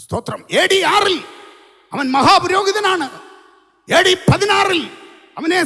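The voice is raised and projected, with ordinary pitch variation. The background is quiet. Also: man. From Kerala, India. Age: 60s. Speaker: pastor. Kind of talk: sermon. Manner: animated. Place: tent. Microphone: handheld.

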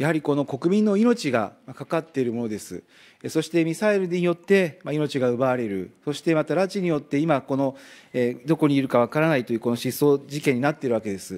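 A man with a plain, everyday voice speaks fairly quickly at a fairly high pitch with lively intonation, in a very clean recording with a silent background. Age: 40s. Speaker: member of parliament. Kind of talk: parliamentary questioning.

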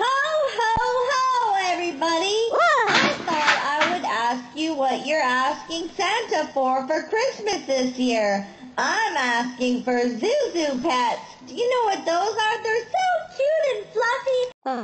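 In a cartoonish character voice, the extremely high pitch makes very wide swings at a fairly slow pace over clear background noise. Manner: cheerful, upbeat.

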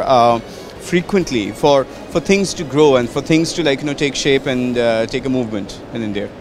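With noticeable background noise but a dry sound with no echo, a man speaks at a moderate pace with ordinary pitch variation. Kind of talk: interview answer. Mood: enthusiastic, reflective. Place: hall. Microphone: handheld.

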